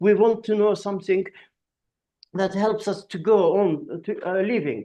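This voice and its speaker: A man with an Azerbaijani accent speaks at a fairly slow pace in a high-pitched voice with a dark, mellow tone and fairly even intonation. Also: quiet background. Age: 60s. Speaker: artist and philosopher. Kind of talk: podcast conversation. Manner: halting.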